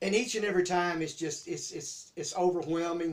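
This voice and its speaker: The pace is moderate. This man keeps his intonation fairly even. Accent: Southern US. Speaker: YouTube host. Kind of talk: casual chat. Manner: halting.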